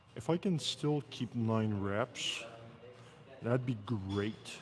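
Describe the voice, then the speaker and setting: This man speaks at a medium pitch in a Quebec accent. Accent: Québécois French-accented English. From Quebec, Canada. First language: French. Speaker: fitness streamer. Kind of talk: livestream workout commentary. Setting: gym. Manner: casual, chatty.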